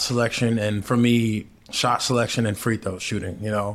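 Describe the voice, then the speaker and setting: In an American accent, a man speaks at a moderate pace with a medium pitch and monotone, flat intonation. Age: 30s. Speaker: professional basketball player, podcast co-host. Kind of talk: casual sports chat.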